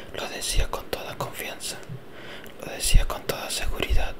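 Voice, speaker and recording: A man whispers at a very slow pace. Noticeable background noise is present. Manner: whispered, soft-spoken.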